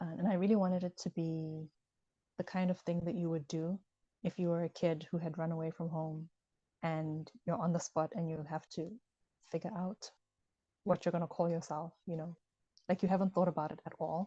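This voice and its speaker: A woman with a Ghanaian accent speaks in a dark, mellow, somewhat breathy voice, her intonation monotone and flat. She leaves long, frequent pauses, and the sound is dry and close with no echo. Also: fairly low pitch for a woman, moderate pace. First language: Ewe. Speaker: author. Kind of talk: interview conversation. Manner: hesitant with many fillers.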